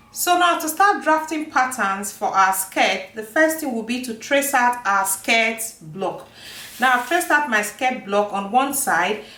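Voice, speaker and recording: With a non-native accent, a woman speaks in a high voice at a fairly slow pace, her pitch swinging very widely amid audible room echo and noticeable background noise. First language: not English. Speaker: sewing and pattern making teacher. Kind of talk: tutorial.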